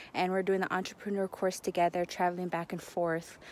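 A woman at a fairly quick pace, in a dry sound with no echo. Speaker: vlogger. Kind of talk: casual vlog chat. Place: waterside. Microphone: phone near.

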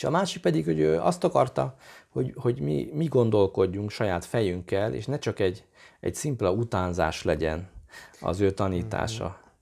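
Against a quiet background, a man speaks at a moderate pace. His fairly low voice has vocal fry and swings very widely in pitch. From Hungary. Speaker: violinist and chamber music teacher; chamber music teacher. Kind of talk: interview. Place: home room. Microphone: lapel.

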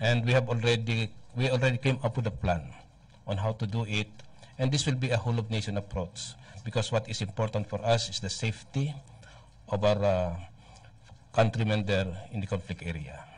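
A man's fairly quick, somewhat breathy speech with long, frequent pauses and ordinary pitch variation. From Philippines. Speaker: military spokesperson. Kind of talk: press briefing. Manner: formal. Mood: calm, formal. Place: hall. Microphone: podium.

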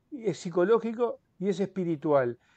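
A man with a high pitch and ordinary pitch variation speaks in a dry sound with no echo and a quiet background. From Uruguay. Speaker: author; interviewee. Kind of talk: interview. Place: home room. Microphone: earbuds.

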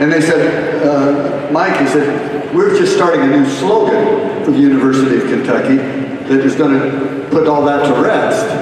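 Strong room echo surrounds speech delivered at a moderate pace, with light background noise. The loudness stays very even. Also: man. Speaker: concert host. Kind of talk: comedic stage monologue. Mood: joking, playful. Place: stage.

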